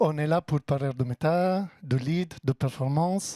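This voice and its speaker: In a very clean recording with a silent background and a dry, close sound with no echo, a man with an Italian accent speaks in a fairly high voice with a dark, mellow tone and ordinary pitch variation. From Italy. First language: Italian (speaking French). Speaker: tech company partner manager. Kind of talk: business presentation. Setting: office event with audience.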